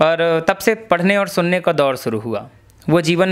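Here a man with a high pitch talks at a fairly slow pace. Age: young. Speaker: comic poet; interviewee. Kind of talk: interview. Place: home room. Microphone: handheld.

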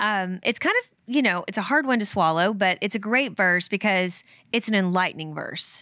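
With a Kentucky accent and a bright, sharp tone, a woman speaks at a moderate pace with ordinary pitch variation and big swings in loudness, in a dry sound with no echo over a quiet background. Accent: Kentucky accent, flares on some words. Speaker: podcast co-host. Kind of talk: casual devotional scripture talk. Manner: conversational with many fillers. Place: studio. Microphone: studio mic.

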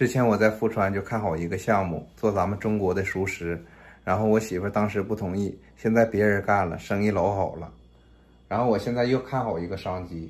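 Speech moves at a fairly quick pace. The intonation is fairly even. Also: man, fairly low pitch for a man. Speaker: vlogger. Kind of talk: casual vlog chat. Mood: earnest, planning a business. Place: kitchen. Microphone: phone near.

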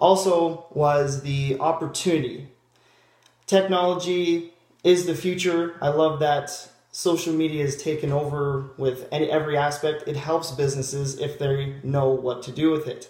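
Somewhat breathy speech in a Canadian accent comes at a moderate pace with fairly even intonation. The background is quiet, but there is audible room echo. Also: man, fairly high pitch for a man. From Ontario, Canada (small town). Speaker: job applicant. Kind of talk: video job application monologue; self-introduction video. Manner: halting, with fillers and restarts. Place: home room. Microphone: webcam.

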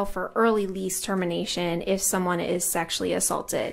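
A woman talks at a fairly quick pace. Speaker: witness. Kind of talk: testimony explaining a bill. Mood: calm, professional. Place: hall. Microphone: podium.

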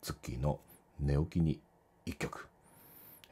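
A voice with a dark, mellow tone and vocal fry moves at a fairly slow pace. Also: man. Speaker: home musician vlogger. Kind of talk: casual vlog chat. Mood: relaxed, friendly. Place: home room. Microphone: studio mic.

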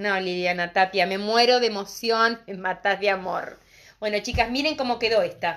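A woman's animated voice, medium in pitch with ordinary pitch variation, at a moderate pace against a quiet background. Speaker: craft and decorative painting teacher; decorative painting teacher. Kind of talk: live streamed craft tutorial. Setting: live stream on social media. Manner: animated, talkative. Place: shop. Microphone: phone near.

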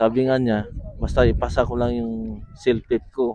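A man speaks over noticeable background noise. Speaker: immigrant worker. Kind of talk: interview. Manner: halting.

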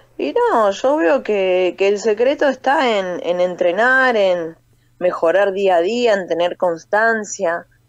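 A woman at a very slow pace, lively intonation and very even loudness, against a quiet background. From Buenos Aires area, Argentina (Libertad, Merlo); Buenos Aires. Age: 30s. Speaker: professional boxer and army corporal. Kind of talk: phone interview. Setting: phone call. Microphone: phone line, dropped once; phone line.

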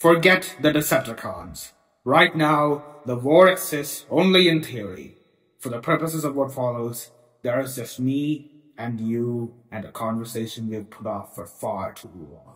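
A man puts on a character voice. His pitch sits in the medium range. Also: moderate pace. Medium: audio drama.

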